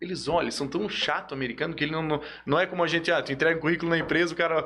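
Noticeable noise runs in the background. Over it, a man talks at a very fast pace. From Joinville, Santa Catarina, Brazil. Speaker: sports agent. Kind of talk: casual chat.

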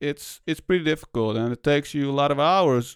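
Against a quiet background, a man with a non-native accent speaks at a very fast pace with fairly even intonation, in a dry, close sound with no echo. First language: not English. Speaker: podcast host. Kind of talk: solo podcast monologue. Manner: casual, halting with fillers.

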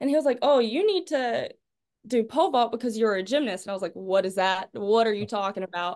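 The speaker talks in a Southern US accent at a fairly quick pace. The intonation is lively. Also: woman. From North Carolina, Clinton. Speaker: college pole vaulter. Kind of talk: interview.

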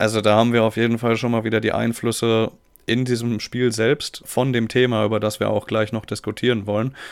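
This man talks at a fairly quick pace in a medium pitch, his intonation monotone and flat and his loudness very even. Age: 20s. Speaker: podcast guest. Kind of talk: casual chat.

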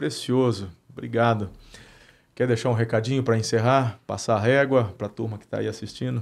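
A man with a plain, everyday voice, medium pitch and fairly even intonation talks at a fairly quick pace in a very clean recording with a silent background. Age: 40s. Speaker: pastor and podcast host. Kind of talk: casual interview chat.

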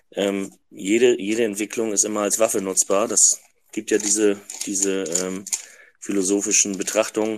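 The voice belongs to a man with fairly low pitch. His intonation stays monotone and flat. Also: moderate pace. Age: 50s. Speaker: trained carpenter joining a live audio room. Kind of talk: casual discussion.

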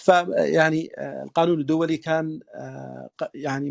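The speaker is a man with an ordinary speaking voice. His pitch is fairly high, with ordinary variation. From southern Yemen (Yafa). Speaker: lawyer. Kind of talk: interview, formal discussion. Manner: formal, fluent, with fillers.

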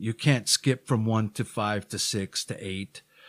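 At a fairly slow pace and with ordinary pitch variation, a speaker with a Hawaiian accent is recorded very cleanly against a silent background, the sound dry and close with no echo. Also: man. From Hawaii (Honolulu, Oahu). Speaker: musician in addiction recovery. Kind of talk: interview. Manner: halting.

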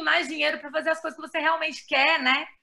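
A woman's raised, projected voice rings out at an extremely high pitch. Her tone is bright and sharp. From Brazil, Belo Horizonte, Minas Gerais. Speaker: journalist and writer. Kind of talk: casual interview.

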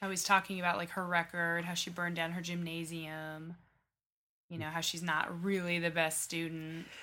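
A woman's fairly low voice, flat and monotone, at a moderate pace. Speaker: podcast co-host. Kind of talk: casual chat.

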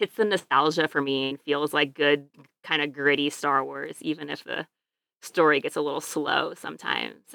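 A woman with a Midwestern American accent speaks at a moderate pace in a very deep, low pitch, recorded very cleanly against a silent background. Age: 30s. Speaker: podcast guest. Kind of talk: casual chat.

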